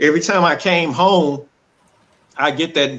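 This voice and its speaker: A man speaks at a fairly slow pace in a fairly high voice. His tone is bright and sharp, with vocal fry. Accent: Southern US. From Texas, Dallas. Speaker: domestic violence survivor. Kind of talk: testimony.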